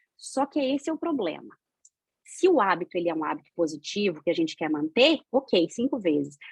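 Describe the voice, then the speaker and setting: A woman speaks fairly quickly at a medium pitch, her voice swinging very widely in pitch. The sound is dry and close, with no echo. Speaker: spiritist lecturer. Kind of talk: lecture. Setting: video call. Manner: fast.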